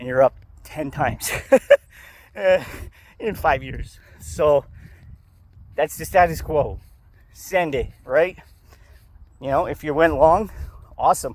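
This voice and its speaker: A man's fairly high voice with vocal fry, fairly slow and full of long, frequent pauses, ordinary pitch variation and big swings in loudness. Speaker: stock market youtuber. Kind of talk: casual vlog. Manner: casual, swearing-laced.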